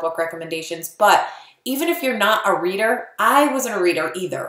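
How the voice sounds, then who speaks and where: Against noticeable background noise, a woman with a medium pitch speaks with lively intonation. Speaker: network marketing coach. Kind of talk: tutorial. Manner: fast; casual.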